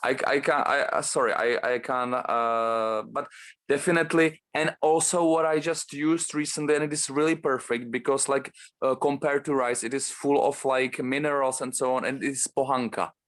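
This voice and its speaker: In a Czech accent, a man speaks with fairly even intonation against a quiet background. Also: moderate pace. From Czech Republic. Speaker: bodybuilder. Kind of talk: casual interview. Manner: halting, many fillers.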